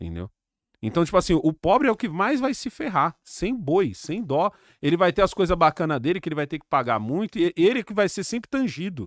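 In a dry recording with no echo and a quiet background, a man with a Brazilian accent talks at a fairly quick pace in an animated tone, his high pitch making very wide swings. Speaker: YouTuber. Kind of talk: casual chat. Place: studio. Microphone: studio mic.

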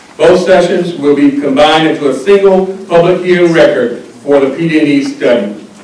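Audible room echo surrounds a man who speaks at a moderate pace with a high pitch and ordinary pitch variation. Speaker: transportation engineer chairing a public hearing. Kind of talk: formal hearing proceedings. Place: meeting room. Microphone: podium.

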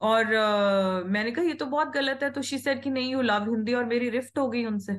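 A woman with a Punjabi accent, high pitch, ordinary pitch variation and a moderate pace. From Punjab, India. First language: Punjabi (speaking Hindi). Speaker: healer, former school worker; interview guest. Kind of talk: casual interview conversation. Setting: call. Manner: Hindi-English code-mixing. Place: home room. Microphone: video call.

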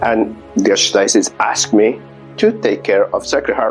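A man's speech proceeds at a moderate pace. Music sits faintly behind him. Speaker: parish priest. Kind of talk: explanatory talk to parishioners. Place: empty room. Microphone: lapel.

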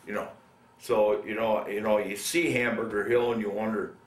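At a moderate pace, a man delivers his words. The room adds audible echo. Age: 70s. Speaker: Vietnam war veteran. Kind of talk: oral history interview. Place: home room.

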